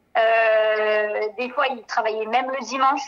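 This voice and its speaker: With fairly even intonation, a woman talks in a fairly high pitch. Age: 30s. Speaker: beautician and former adult-education student. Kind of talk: testimony. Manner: hesitant, many fillers.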